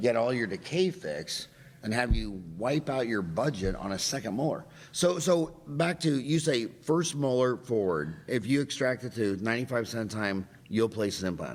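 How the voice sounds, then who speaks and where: With vocal fry and very wide pitch swings, a man talks at a moderate pace. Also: medium pitch for a man. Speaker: dentist, podcast host. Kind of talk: podcast interview.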